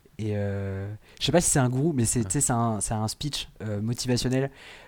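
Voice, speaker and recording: A man at a fairly slow pace, medium in pitch, with ordinary pitch variation. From western France, Vendée. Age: 20s. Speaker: improv actor. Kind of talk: casual interview. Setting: remote recording.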